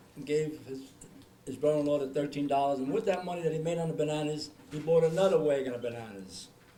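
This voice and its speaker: Amid noticeable background noise and audible room echo, a man with an American accent talks at a very fast pace with ordinary pitch variation. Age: 70s. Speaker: family member sharing memories. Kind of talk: family reminiscing.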